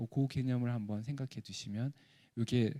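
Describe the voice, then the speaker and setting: The man's voice has a dark, mellow tone and fairly even intonation at a fairly quick pace. The sound is dry and close, with no echo. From South Korea, Gyeongsang (Pohang). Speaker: professor. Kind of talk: lecture.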